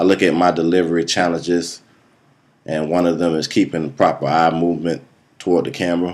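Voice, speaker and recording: The man's pitch is very deep and low, and his intonation stays monotone and flat. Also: fairly quick pace. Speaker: student, military veteran. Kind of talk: self-evaluation speech. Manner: hesitant, uses um.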